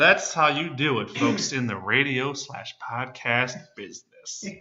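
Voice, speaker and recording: Big swings in loudness run through a man's fairly high-pitched voice as he speaks at a fairly slow pace with ordinary pitch variation. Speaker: podcast co-host. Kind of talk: casual sports chat. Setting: room recording.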